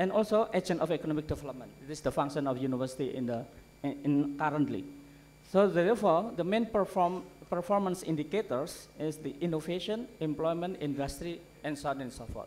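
Fairly quick pace from a man, with ordinary pitch variation. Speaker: conference keynote speaker. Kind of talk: lecture. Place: hall. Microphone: podium.

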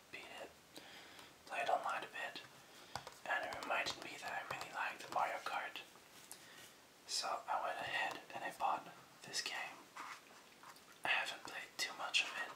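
Whispering from a man at a moderate pace, broken by long, frequent pauses. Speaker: ASMR creator. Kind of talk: ASMR whispered video game collection showcase to camera. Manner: whispered, soft-spoken.

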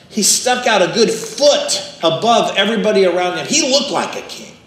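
In a room with audible echo, a high-pitched man talks at a fairly quick pace with big swings in loudness and ordinary pitch variation. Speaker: pastor. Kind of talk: sermon. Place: church.

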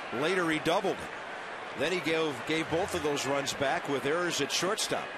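A man at a moderate pace, dry sound with no echo, loud background noise behind him. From US Midwest. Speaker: play-by-play announcer. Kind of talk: live baseball play-by-play commentary. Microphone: headset.

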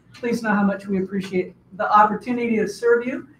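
A woman's fairly even voice with audible room echo and light background noise. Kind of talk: formal address to audience. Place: meeting room.

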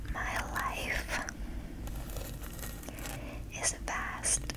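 A woman whispers, soft-spoken. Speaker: affirmation video creator. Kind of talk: soft spoken affirmations. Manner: slow soft whisper. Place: home room.

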